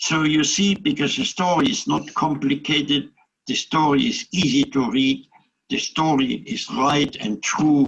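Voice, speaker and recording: A man speaks with a German accent. His fairly high voice has lively intonation. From Germany. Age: 80s+. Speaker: Holocaust survivor. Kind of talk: interview answer. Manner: positive, upbeat.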